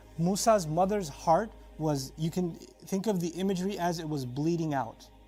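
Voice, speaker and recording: Music plays in the background as a man speaks. His voice is high-pitched, with ordinary pitch variation. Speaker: Islamic lecturer. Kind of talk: religious sermon / lecture.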